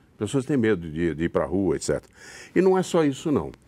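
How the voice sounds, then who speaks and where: On a very clean recording with a silent background, a man speaks at a moderate pace. His pitch swings very widely. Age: 70s. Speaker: stage actor. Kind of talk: interview. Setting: studio. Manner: halting, with repetitions.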